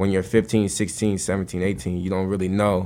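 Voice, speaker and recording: Monotone, flat delivery with an American accent. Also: man. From New Jersey. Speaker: basketball coach. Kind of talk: casual interview.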